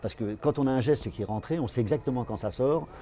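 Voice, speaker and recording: The speaker is a man with a medium pitch. He moves at a moderate pace with ordinary pitch variation. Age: 60s. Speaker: aikido teacher. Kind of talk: interview. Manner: halting, many repetitions and fillers.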